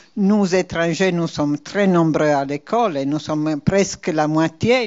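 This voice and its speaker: A woman with a non-native accent speaks at a fairly slow pace in a very deep, low voice. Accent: foreign accent in French. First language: not French (speaking French). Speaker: university vice-president. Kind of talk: institutional presentation. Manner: hesitant, frequent fillers.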